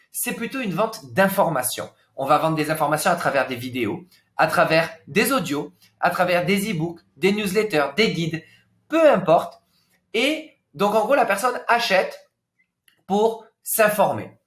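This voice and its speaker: Pausing long and often, a man with a high pitch speaks fairly slowly, his pitch swinging very widely. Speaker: business coach. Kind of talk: webinar presentation. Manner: dynamic.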